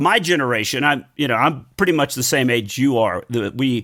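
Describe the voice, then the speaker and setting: A man with an American accent and an ordinary speaking voice speaks at a medium pitch with lively intonation, on a very clean recording with a silent background. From Texas. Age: 60s. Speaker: podcast host and stand-up comic. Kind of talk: casual interview chat.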